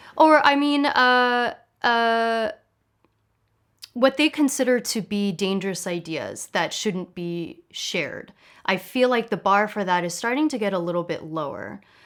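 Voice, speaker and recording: Heard in a very clean recording with a silent background, a woman speaks at a fairly slow pace with a fairly high pitch. She has an unremarkable speaking voice and lively intonation. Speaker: online show host. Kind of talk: interview question.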